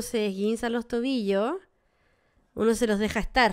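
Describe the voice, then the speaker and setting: In a quiet background, a woman speaks slowly-ish, fairly slow in pace, with a fairly high pitch and fairly even intonation. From Chile. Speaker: comedy podcast co-host. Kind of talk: casual chat. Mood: relaxed, joking. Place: studio. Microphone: studio mic.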